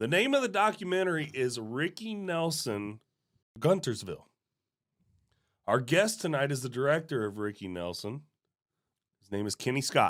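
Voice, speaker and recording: This man's pitch is fairly high and swings very widely, with long, frequent pauses. The recording is very clean, with a silent background. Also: moderate pace. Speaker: podcast host and film producer. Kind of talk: casual chat. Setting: studio. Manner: halting, stumbling over words.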